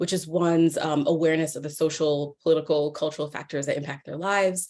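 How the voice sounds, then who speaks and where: A woman with a New York accent talks very fast at a fairly low pitch. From US Northeast, New York. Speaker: professor. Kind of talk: lecture. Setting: video call. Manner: animated.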